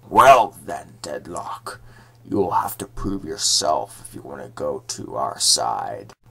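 The voice is raspy and put on as a character. Its pace is fairly slow. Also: man. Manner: commanding, solemn.

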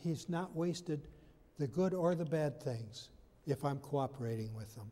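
A man with a fairly high pitch and a dark, mellow tone speaks at a fairly slow pace with lively intonation. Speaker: pastor. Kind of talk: sermon. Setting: church. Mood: warm, lightly humorous. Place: church.

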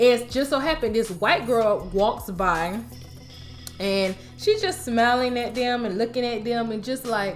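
Over faint background music, a woman talks at a fairly slow pace with ordinary pitch variation. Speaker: TV show recap vlogger. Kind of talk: casual vlog chat. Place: home room.

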